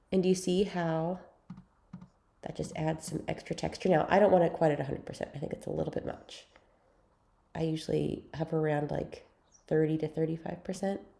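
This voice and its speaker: With vocal fry and a dark, mellow tone, a woman of fairly low pitch talks at a fairly quick pace broken by long, frequent pauses. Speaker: photo editing tutor. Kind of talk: tutorial. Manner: casual, chatty.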